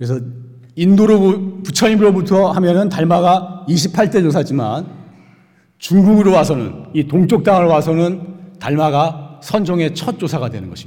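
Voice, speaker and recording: High for a man, his voice moves at a fairly slow pace with ordinary pitch variation. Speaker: Buddhist monk giving dharma talk. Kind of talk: sermon. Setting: Sunday dharma service.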